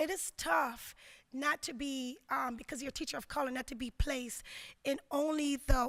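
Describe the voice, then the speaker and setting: A woman with a Jamaican accent, high-pitched, with ordinary pitch variation. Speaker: educator, keynote speaker. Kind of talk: conference keynote speech. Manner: hesitant, many filler words.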